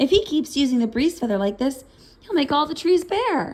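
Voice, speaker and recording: A put-on character voice from a woman, high in pitch, at a moderate pace. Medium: read story.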